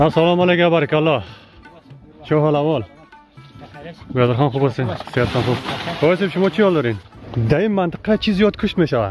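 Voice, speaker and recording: Over clear music in the background, the dry, echo-free speech runs at a very fast pace broken by long, frequent pauses. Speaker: reporter. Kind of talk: interview questions. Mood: friendly, polite. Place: open country. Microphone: phone near.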